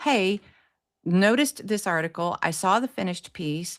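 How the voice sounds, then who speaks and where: A woman at medium pitch, moderate pace, with lively intonation. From US South, East Tennessee. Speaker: publicist. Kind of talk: podcast interview. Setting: live podcast show.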